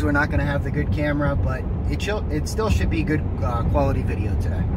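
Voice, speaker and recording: A man talks with ordinary pitch variation. The sound is dry with no echo, though loud background noise is present. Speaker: vlogger. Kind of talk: casual vlog chat. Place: car. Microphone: phone near.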